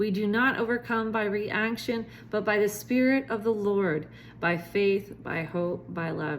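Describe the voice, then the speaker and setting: At a fairly slow pace, a woman speaks in a normal speaking voice with medium pitch and ordinary pitch variation. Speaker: preacher. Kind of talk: sermon teaching to camera.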